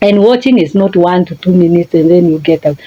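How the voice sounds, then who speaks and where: A woman with a Kenyan accent, fairly low-pitched, with ordinary pitch variation, over background music, in a dry, close sound with no echo. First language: a Kenyan language (not English). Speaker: life coach. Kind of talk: motivational talk. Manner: halting.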